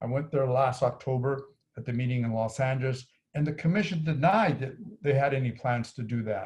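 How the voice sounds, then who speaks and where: Somewhat breathy, a man talks at a medium pitch with ordinary pitch variation. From New Mexico. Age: 70s. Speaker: activist group leader. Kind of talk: interview. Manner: halting.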